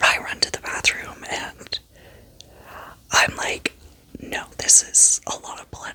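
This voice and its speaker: A whispered voice goes at a very slow pace, with noticeable background noise present. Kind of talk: ASMR story time vlog. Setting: at home in bed.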